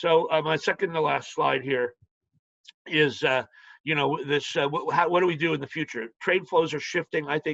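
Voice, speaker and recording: A man's fairly high-pitched voice with fairly even intonation, in a dry, close sound with no echo. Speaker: financial analyst. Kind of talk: webinar presentation. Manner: fast; halting.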